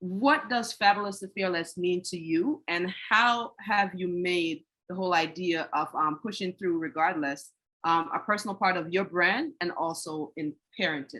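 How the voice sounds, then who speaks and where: Delivered at a moderate pace, the voice has a bright, sharp tone and ordinary pitch variation. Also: woman, fairly low pitch for a woman. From Jamaica. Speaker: podcast host. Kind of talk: interview.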